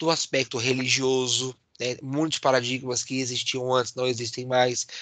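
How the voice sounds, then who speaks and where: A man at a moderate pace, dry, close sound with no echo, quiet background. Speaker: university lecturer. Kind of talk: online lecture. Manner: animated.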